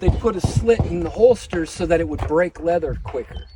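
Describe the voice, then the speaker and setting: Noticeable background noise runs through the clip. Over it, a man speaks fairly quickly. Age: 50s. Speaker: firearms instructor. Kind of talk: class lecture with demonstration. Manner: casual, filler-heavy.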